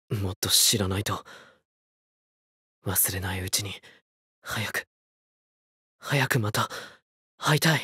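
In a put-on character voice, a man speaks raspy and fairly low at a fairly slow pace, with ordinary pitch variation, long, frequent pauses and a dry, close sound with no echo. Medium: dub. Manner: longing, earnest.

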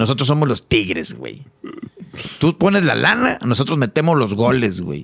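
At a moderate pace, a man speaks in a medium pitch with very wide pitch swings. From Mexico. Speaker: musician; podcast guest. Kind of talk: casual chat. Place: studio. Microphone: studio mic.

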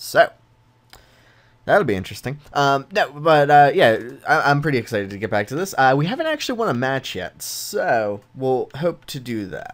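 With big pitch swings, a man speaks at a moderate pace and medium pitch.

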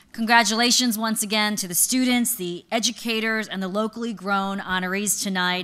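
A woman's fairly high-pitched voice, a normal speaking voice, at a fairly quick pace with hardly any pauses. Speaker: event emcee. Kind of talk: event closing remarks; ceremony speech. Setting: stage with audience. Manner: upbeat, polished. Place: stage. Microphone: podium.

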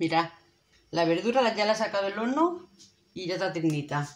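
A woman's lively intonation at a moderate pace. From Spain. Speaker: cooking video creator. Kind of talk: cooking tutorial. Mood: warm, friendly. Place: kitchen.

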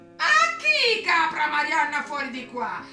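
A woman puts on a character voice, high-pitched with very wide pitch swings and a bright, sharp tone. She talks at a fairly slow pace over faint background music.

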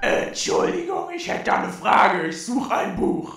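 In a put-on character voice, a man speaks at a moderate pace with a slight echo. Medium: audio drama.

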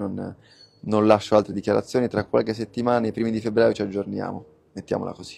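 A man talks at a very fast pace with a fairly low pitch. His tone is dark and mellow, and his loudness swings widely. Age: 20s. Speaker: online business coach. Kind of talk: live stream Q&A. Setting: live stream. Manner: animated.

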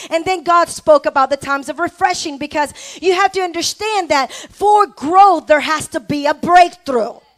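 A woman with an extremely high pitch and an animated tone speaks at a moderate pace with hardly any pauses, in a dry, close sound with no echo. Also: ordinary pitch variation. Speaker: preacher / pastor. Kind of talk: sermon to a live congregation, call-and-response. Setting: church with congregation. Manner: animated, exhortative, rhetorical questions to the crowd; emphatic, repeating phrases for effect.

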